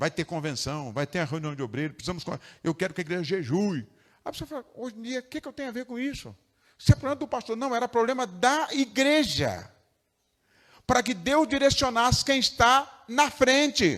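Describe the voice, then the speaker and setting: This man's voice is extremely high and moves through very wide pitch swings. He talks at a fairly quick pace. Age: 60s. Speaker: pastor. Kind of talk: sermon. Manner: animated.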